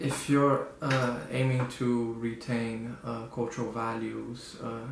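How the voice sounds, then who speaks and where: With a Portuguese accent, a man at medium pitch speaks at a very slow pace in monotone, flat intonation, amid audible room echo and noticeable background noise. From Brazil. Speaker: student. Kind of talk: interview answer. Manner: hesitant, many fillers.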